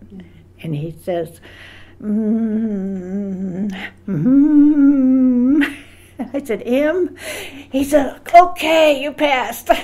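A woman's high-pitched voice at a very slow pace, with long, frequent pauses, very wide pitch swings and big swings in loudness over noticeable background noise. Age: 80s+. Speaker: World War II veteran. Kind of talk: interview answer.

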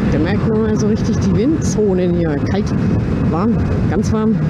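A woman speaks at a very slow pace. Loud background noise is present. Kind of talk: casual vlog chat. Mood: cheerful, relaxed. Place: motorbike. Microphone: helmet.

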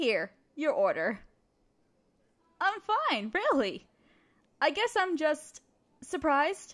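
Putting on a character voice, a woman talks at a slow pace in a high pitch with big pitch swings and a fairly bright tone.

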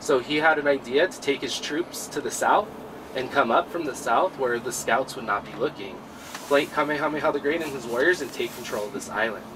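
A man talks at a fairly quick pace in a fairly high voice. There is noticeable background noise. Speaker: tour guide. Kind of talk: guided tour history talk. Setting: outdoors. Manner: soothing.

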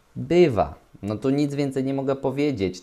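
Over a quiet background, a man speaks at a moderate pace with a dark, mellow tone and lively intonation. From Poland. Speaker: relationship coach and video host; relationship advice vlogger. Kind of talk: solo commentary reading forum posts. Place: home room. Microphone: webcam.

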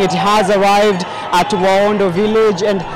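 A high-pitched man's voice, dry with no echo, over loud background noise. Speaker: news anchor and reporter. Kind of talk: live studio anchor opening of a newscast. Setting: broadcast demo reel. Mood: solemn, informative. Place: street. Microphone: handheld.

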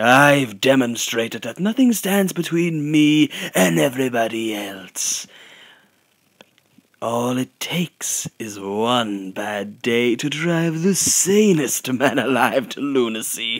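At a fairly slow pace, a man uses a put-on character voice. His pitch stays medium. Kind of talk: amateur fan voice acting, hushed delivery. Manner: mocking, manic, punctuated by laughter.

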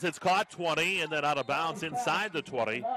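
Over music in the background, a man with a high pitch speaks fairly slowly with lively intonation. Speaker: football play-by-play commentator. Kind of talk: live sports commentary on a football game, cut into highlights. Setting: broadcast over game footage.

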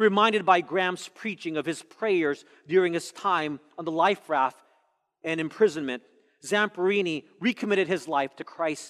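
Speech moves at a moderate pace with ordinary pitch variation. Nothing intrudes from the quiet background. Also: man. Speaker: pastor. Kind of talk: sermon. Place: church. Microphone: headset.

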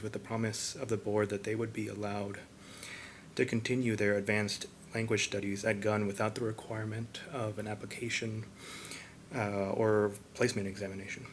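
At a fairly quick pace, a man talks with a fairly low pitch. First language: Spanish. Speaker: parent speaking at public forum. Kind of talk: public comment at school board meeting. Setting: school board meeting room. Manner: halting, with fillers.

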